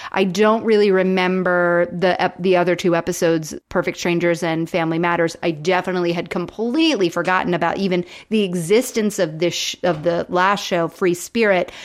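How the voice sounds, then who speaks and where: A woman with an American accent speaks at a fairly quick pace, with a plain, everyday voice and a fairly low pitch. Her intonation is fairly even, and the background is quiet. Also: hardly any pauses. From Florida. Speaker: podcast co-host. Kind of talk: casual chat.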